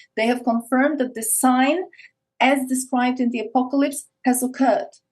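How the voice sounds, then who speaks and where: With an Eastern European accent, a woman speaks at a fairly quick pace in a high pitch and a monotone, flat intonation. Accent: Eastern European, noticeable. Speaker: podcast guest, esoteric speaker. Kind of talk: casual interview chat.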